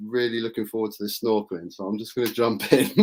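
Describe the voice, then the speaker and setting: A very fast delivery in an English accent, with fairly even intonation. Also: man. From England. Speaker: political YouTuber. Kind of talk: casual chat. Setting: live stream.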